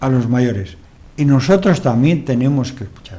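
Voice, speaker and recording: Room echo is audible as a man speaks at a fairly slow pace and a medium pitch, with ordinary pitch variation. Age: 70s. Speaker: TV talk show host. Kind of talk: interview talk show.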